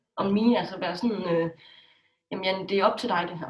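Somewhat breathy, a woman talks at a moderate pace with ordinary pitch variation. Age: 20s. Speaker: blogger. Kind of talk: interview.

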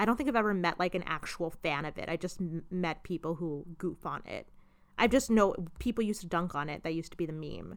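Captured in a very clean recording with a silent background, a woman with a fairly low pitch talks at a very fast pace. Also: ordinary pitch variation. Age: 20s. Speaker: podcast host. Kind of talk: casual chat. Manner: animated.

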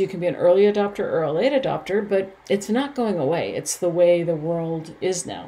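A woman with a normal speaking voice talks at a moderate pace and medium pitch. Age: 50s. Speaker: personal development podcast host. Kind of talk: solo podcast monologue.

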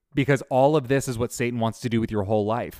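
A man has a normal speaking voice with ordinary pitch variation, recorded with a dry, close sound with no echo on a very clean recording with a silent background. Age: 30s. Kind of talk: faith teaching monologue.

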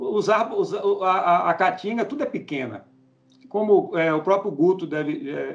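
A man is speaking. His pitch swings very widely. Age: 50s. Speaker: cattle and goat farmer. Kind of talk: casual interview.

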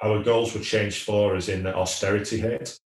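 With a Lancashire accent, a man speaks in a fairly low, somewhat breathy voice with monotone, flat intonation. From northern England, Wigan. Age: 40s. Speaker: entrepreneur, managing director. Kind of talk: podcast interview.

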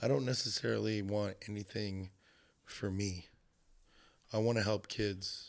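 A man with a Southern Californian accent, monotone and flat, at a fairly slow pace on a very clean recording with a silent background. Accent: Southern California American. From Los Angeles, US (North Hollywood). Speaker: photographer. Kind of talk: casual interview. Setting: indoor room, window open to outside.

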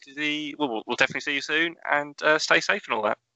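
The speaker has a Norfolk accent. The pace is very fast. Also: man. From Norfolk, England. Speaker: podcast host. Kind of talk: casual interview chat.

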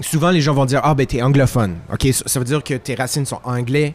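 A man with an unremarkable speaking voice and a fairly high pitch speaks at a fairly quick pace with fairly even intonation. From Quebec, Italian-Friulian family. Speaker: singer-songwriter. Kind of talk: casual chat.

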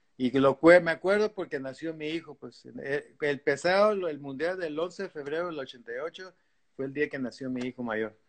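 Speaking at a fairly slow pace, a man uses a normal speaking voice, fairly high in pitch, with ordinary pitch variation. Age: 60s. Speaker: veteran surfer. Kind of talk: casual interview.

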